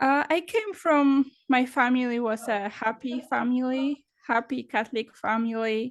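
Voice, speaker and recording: A woman talks at a high pitch with ordinary pitch variation and a fairly slow pace. She leaves hardly any pauses against a quiet background. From Poland. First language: Polish. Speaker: confidence coach. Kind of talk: interview. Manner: halting, many fillers.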